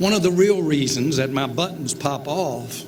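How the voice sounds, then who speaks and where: Man with an American accent at a fairly slow pace, ordinary pitch variation, and noticeable background noise. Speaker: football team owner. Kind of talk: speech at a luncheon. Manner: heartfelt, earnest.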